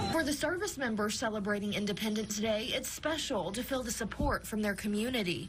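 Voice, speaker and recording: A woman talks at a fairly quick pace with hardly any pauses and very even loudness, over noticeable background noise. Her fairly high voice has lively intonation. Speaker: television news anchor and reporter. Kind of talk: TV news reporter delivery. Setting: outdoors, on location at a lake.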